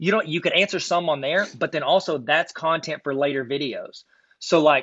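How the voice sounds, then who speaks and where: This man has a fairly high pitch and an American accent. His pitch varies in an ordinary way. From US South (south Arkansas). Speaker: card collecting YouTuber and teacher trainer. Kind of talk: casual podcast chat. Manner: fast; animated.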